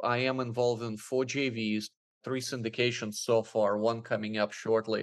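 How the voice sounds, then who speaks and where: A man's unremarkable speaking voice at a medium pitch and fairly slow pace, over a quiet background. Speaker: real estate investor and syndicator. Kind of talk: casual interview.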